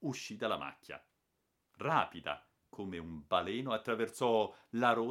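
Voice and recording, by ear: The background is quiet during this reading aloud in a natural voice.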